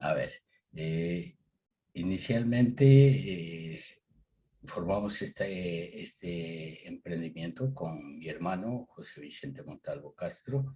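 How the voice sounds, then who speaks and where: A man's very deep, low voice, dark and mellow in tone, very slow, with lively intonation and big swings in loudness. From Ecuador, Tulcán (northern highlands, Colombian border). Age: 60s. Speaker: agricultural business owner. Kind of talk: interview. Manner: hesitant, many fillers.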